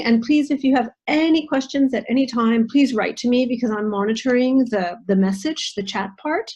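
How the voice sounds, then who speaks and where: The speaker has an American accent and a plain, everyday voice. The pace is moderate, with ordinary pitch variation. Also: woman. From United States. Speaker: nutritional therapist and intercultural trainer. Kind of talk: online presentation. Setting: video call.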